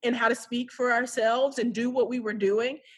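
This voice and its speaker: A woman with a high pitch and an animated tone. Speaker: social worker. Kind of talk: casual interview. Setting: phone call. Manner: loud.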